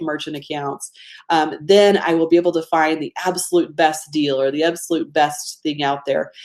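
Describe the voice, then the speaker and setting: A woman speaks with a Georgia accent. Her pace is moderate. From US state of Georgia. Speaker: business coach running a webinar. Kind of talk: live webinar presentation. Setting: live online webinar. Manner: casual, conversational.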